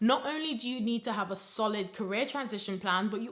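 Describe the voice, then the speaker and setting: A woman's animated, fairly quick speech with a Nigerian accent. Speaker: career coach. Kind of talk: motivational advice video.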